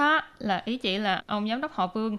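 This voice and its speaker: A woman with a bright, sharp tone speaks over a quiet background. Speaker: language teacher. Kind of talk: language lesson.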